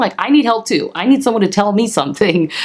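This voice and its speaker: A woman talks at a very fast pace, at medium pitch with very wide pitch swings. Background noise is noticeable. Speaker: lifestyle and interior design vlogger. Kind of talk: personal vlog monologue. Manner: casual, filler-heavy.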